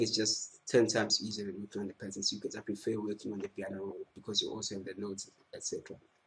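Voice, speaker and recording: Very fast and somewhat breathy, a man's fairly low voice stays monotone and flat while making big swings in loudness. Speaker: music production tutor. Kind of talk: tutorial.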